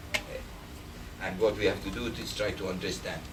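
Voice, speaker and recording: A man talks with a non-native accent in a fairly low pitch. There is noticeable background noise. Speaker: Alzheimer's medical researcher. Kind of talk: lecture talk.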